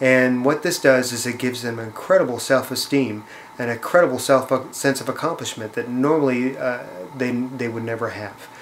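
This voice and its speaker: A man's medium-pitched voice keeps fairly even intonation over noticeable background noise. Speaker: charity fundraiser. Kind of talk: appeal to viewers. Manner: fast; hesitant, many fillers.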